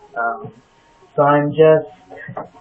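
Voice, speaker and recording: The man's intonation stays fairly even. Music plays behind him. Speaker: vlogger documenting gender transition. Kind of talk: personal video diary. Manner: many filler ums.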